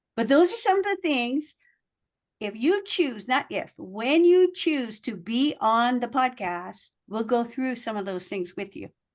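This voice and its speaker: A woman's high voice, animated in tone, moves at a fairly slow pace with very wide pitch swings. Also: quiet background. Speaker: communication coach. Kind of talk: workshop presentation. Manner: varied emphasis.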